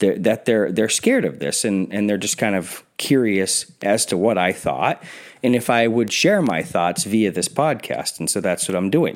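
A man talks in a plain, everyday voice at a fairly low pitch and moderate pace. His intonation is lively, on a very clean recording with a silent background. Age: 40s. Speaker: podcast host. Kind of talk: solo commentary podcast. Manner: casual with frequent fillers and repetitions.

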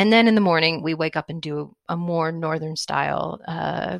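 At a moderate pace, a woman with a very deep, low voice is heard in a very clean recording with a silent background, the sound dry and close with no echo. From US Northeast. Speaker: podcast host, travel curator. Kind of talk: casual podcast narration.

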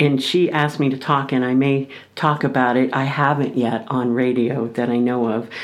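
Amid noticeable background noise and audible room echo, a woman speaks at a very deep, low pitch with fairly even intonation and very even loudness. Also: moderate pace. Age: 60s. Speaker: radio show guest sharing life story. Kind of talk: casual interview chat.

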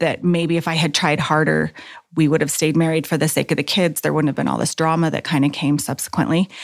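On a very clean recording with a silent background, a woman with an American accent talks at a very fast pace in a very deep, low voice with vocal fry, monotone, flat intonation and very even loudness. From Texas. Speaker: nurse. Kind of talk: interview testimony.

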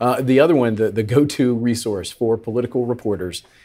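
A man speaks with an American accent at a fairly quick pace. He has a plain, everyday voice and fairly even intonation. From Tennessee and Florida. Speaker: political strategist. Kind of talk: roundtable discussion.

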